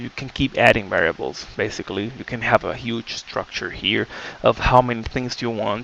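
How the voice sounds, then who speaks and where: A man with a non-native accent speaks at a medium pitch with fairly even intonation. Noticeable background noise is present. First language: not English. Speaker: game development tutorial creator. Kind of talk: tutorial. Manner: casual, many filler words.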